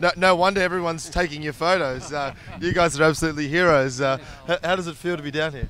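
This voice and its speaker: A man's fairly high voice in an Australian accent, very fast, with fairly even intonation, over noticeable background noise. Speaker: TV presenter. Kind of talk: live interview. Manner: stammering, repeats words.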